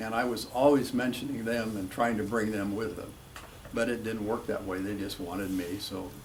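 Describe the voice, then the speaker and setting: Heard with audible room echo, a man speaks at a moderate pace in a fairly low pitch, his intonation fairly even. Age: 80s+. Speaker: retired drag racer. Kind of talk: interview.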